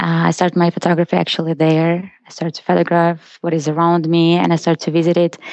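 Very fast and delivered in a monotone, flat intonation, this woman's speech sits at a fairly low pitch. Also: hardly any pauses. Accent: Russian. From Russia. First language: Russian. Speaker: photographer. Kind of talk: interview.

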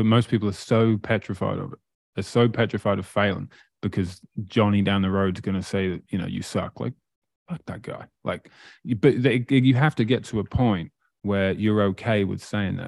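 Pitched fairly low, a man with an East Anglian accent speaks at a moderate pace with ordinary pitch variation, in a dry, close recording with no echo, very clean and with a silent background. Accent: English (East Anglia). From England, Great Yarmouth. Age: 30s. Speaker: motivational speaker and entrepreneur. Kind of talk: casual interview.

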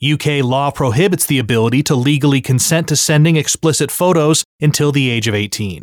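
Over a very clean recording with a silent background, a man with an American accent uses an ordinary speaking voice at a fairly high pitch, with ordinary pitch variation, very even loudness, a fairly quick pace, and hardly any pauses. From United States. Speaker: news podcast host. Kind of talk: news reading.

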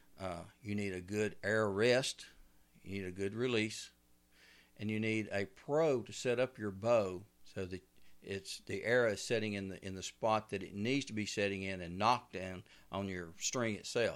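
Over a silent background in a very clean recording, a man with a Southern US accent speaks at a moderate pace, his pitch fairly low and his intonation fairly even. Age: 60s. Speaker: bowhunter and outdoor TV host. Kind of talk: casual interview. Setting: studio.

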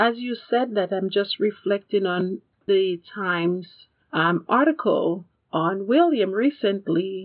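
A woman at medium pitch with ordinary pitch variation and a very slow pace. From a Commonwealth country. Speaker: podcast co-host on royal news. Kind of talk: casual chat.

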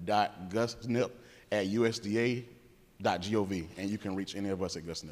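In an unremarkable speaking voice with a fairly low pitch, a man talks at a moderate pace with ordinary pitch variation, captured in a very clean recording with a silent background. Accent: American. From rural North Florida. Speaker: government program specialist. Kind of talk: conference panel presentation. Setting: conference room with audience.

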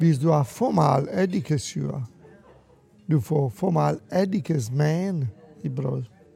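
Music plays behind a man with a fairly high pitch and lively intonation. He talks very slowly, with long, frequent pauses. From Italy. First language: Italian (speaking Danish). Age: 60s. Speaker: restaurateur. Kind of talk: interview. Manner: halting with many fillers.

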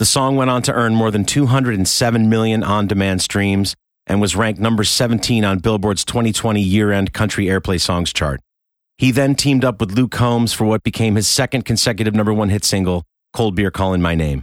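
In a very clean recording with a silent background, a man with an American accent uses an ordinary speaking voice, a fairly low pitch, ordinary pitch variation and a fairly quick pace. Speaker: musician and podcast narrator. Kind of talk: scripted narration.

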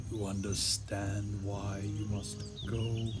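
A man uses a put-on character voice at a fairly low pitch and a very slow pace. Loud background noise is present. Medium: audio drama. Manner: grave, authoritative.

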